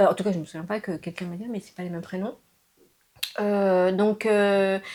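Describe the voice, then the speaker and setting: This woman's medium-pitched voice keeps a monotone, flat intonation while its loudness swings widely. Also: moderate pace. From France (raised from age 6, born in Laos). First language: Lao (speaking French). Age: 50s. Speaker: interviewee mother. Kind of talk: casual interview. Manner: hesitant, many fillers.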